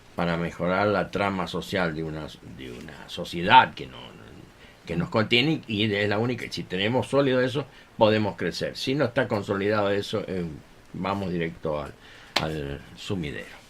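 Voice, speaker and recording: A man speaks at a moderate pace with a fairly low pitch. His intonation is lively, and his loudness swings widely. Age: 60s. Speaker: violinist and music teacher. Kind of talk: radio interview. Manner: hesitant, many fillers.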